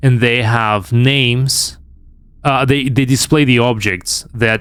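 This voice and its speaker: A man with a non-native accent speaks at a very slow pace with fairly even intonation. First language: not English. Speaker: game streamer. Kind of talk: live gameplay commentary. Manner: halting.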